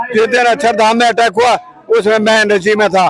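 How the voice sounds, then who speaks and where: Through noticeable background noise comes a man's voice at an extremely high pitch. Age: 70s. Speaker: retired soldier, protester. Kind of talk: protest speech to reporter. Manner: impassioned.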